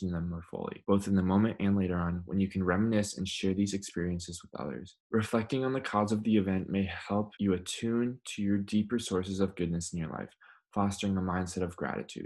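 A man with an American accent talks at a fairly quick pace in a normal speaking voice, with hardly any pauses. His fairly low pitch stays fairly even, and the recording is very clean with a silent background. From Minnesota, US (Minneapolis). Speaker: well-being coach. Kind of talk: instructional video presentation. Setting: recording at home.

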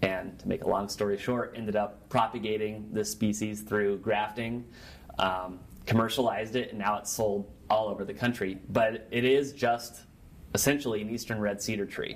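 A man with an American accent, fairly low in pitch, at a moderate pace, in a monotone, flat intonation. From Nebraska, US Great Plains. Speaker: journalist and author. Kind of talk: interview.

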